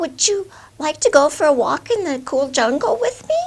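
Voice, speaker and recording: In a squeaky, put-on character voice, a woman talks at a high pitch and a moderate pace. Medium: read story. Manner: courteous.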